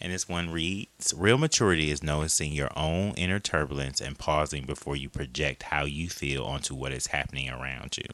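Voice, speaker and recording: Vocal fry marks this man's very deep, low pitch. He holds a moderate pace with ordinary pitch variation. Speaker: podcast host. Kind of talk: casual chat.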